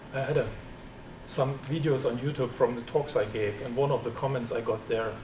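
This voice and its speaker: A man with a German accent talks at a fairly quick pace. Noticeable background noise runs behind him. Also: medium pitch for a man, fairly even intonation. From East Germany. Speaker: computer science professor. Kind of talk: seminar talk with Q&A. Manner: halting, repeats words.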